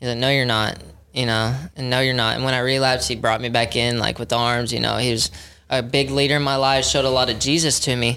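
With an American accent, a man of medium pitch speaks at a very fast pace and with fairly even intonation. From Texas, Dallas. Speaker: recovery program manager. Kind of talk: testimony.

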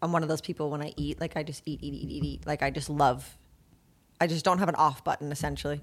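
Her very deep, low voice is monotone and flat, with vocal fry. The woman is recorded very cleanly against a silent background. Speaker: podcast co-host. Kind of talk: casual chat. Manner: soft-spoken.

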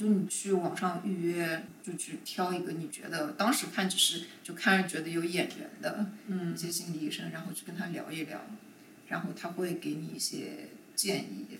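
There is noticeable background noise and audible room echo as a woman with a fairly low pitch talks at a moderate pace, her loudness swinging widely. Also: ordinary pitch variation. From China, Shanghai. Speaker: corporate lawyer. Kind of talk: casual chat.

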